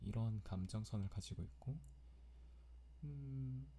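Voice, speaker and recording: Very deep and low, this man's voice has a dark, mellow tone, very wide pitch swings and a somewhat breathy quality. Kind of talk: personal diary-style ASMR recording.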